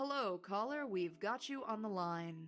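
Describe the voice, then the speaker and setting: Over clear music in the background, a soft-spoken, female-sounding put-on character voice speaks at a medium pitch and a moderate pace. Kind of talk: mature.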